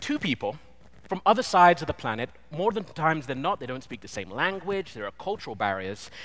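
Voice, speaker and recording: Fairly quick, vocal-fried speech in a British accent, with big swings in loudness and very wide pitch swings. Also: man. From Britain. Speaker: designer, conference speaker. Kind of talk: conference talk. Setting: stage with audience.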